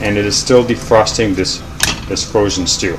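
Music in the background behind a man talking at a moderate pace. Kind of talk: cooking tutorial. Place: kitchen. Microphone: camera far.

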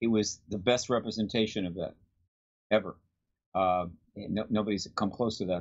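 A man with a General American accent speaks at a fairly low pitch in a flat, monotone way, leaving long and frequent pauses against a quiet background. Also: moderate pace. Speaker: disclosure activist. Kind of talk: interview. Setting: video call. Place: home room. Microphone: webcam.

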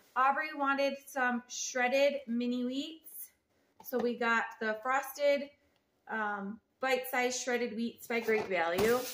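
Over noticeable background noise, a woman talks very slowly. Her pitch is high, with ordinary variation. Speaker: home vlogger. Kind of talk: casual vlog chat. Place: kitchen. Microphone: phone near.

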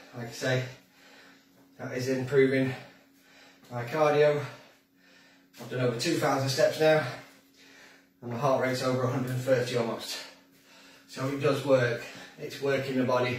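Over audible room echo, a man speaks in a flat monotone at a moderate pace, with long, frequent pauses. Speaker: fitness instructor. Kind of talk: workout instruction. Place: kitchen. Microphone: camera far.

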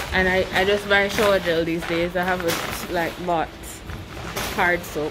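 The speech crawls at a very slow pace while music plays in the background. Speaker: vlogger. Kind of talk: casual vlog chat. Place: shop. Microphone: phone near.

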